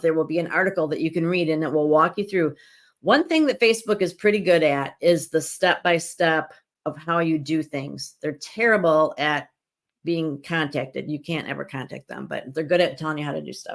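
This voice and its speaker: A raspy, put-on character voice speaks at a moderate pace with ordinary pitch variation. The recording is very clean, with a silent background. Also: woman, fairly low pitch for a woman. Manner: fast; explaining.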